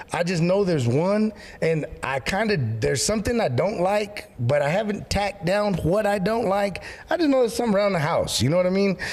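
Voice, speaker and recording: Over noticeable background noise, a man talks at a fairly quick pace with a high pitch and an animated tone. His intonation is lively and his loudness very even. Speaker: pastor. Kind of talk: casual chat.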